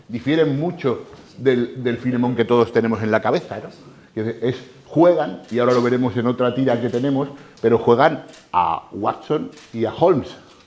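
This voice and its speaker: A man has an ordinary speaking voice at medium pitch. He talks at a moderate pace with ordinary pitch variation. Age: 60s. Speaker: lecturer on comics. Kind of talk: talk to a live audience.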